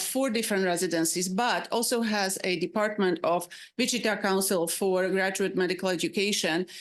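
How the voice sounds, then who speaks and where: With a Slovak accent, a woman speaks at a medium pitch with fairly even intonation, very even loudness and hardly any pauses. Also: quiet background. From Slovakia. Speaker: psychiatrist and residency faculty. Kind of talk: panel presentation. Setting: public advisory panel meeting. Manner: halting, with many fillers.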